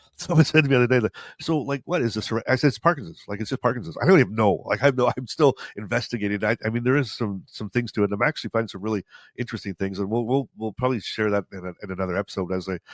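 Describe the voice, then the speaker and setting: A man with a medium pitch and ordinary pitch variation talks at a very fast pace. The recording is very clean, with a silent background and a dry, close sound with no echo. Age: 50s. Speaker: podcast host with Parkinson's. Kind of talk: casual chat. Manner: halting, many restarts.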